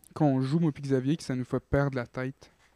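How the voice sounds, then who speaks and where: With a Quebec accent, a man speaks at a fairly high pitch in a dark, mellow tone, recorded with a dry, close sound and no echo. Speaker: podcast co-host. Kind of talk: casual chat.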